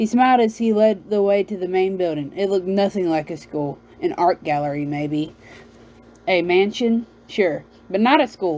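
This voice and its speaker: In a Southern US accent, a woman speaks at a moderate pace and a medium pitch. Her tone is dark and mellow, with lively intonation. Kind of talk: read-aloud novel. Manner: halting, self-correcting.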